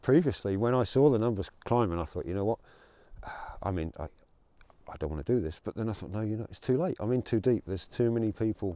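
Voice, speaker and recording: Over a quiet background, a man with an English accent speaks in a fairly low, dark and mellow voice, his intonation lively. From England. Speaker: rally organizer and truck driver. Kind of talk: interview. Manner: hesitant with fillers and repeats.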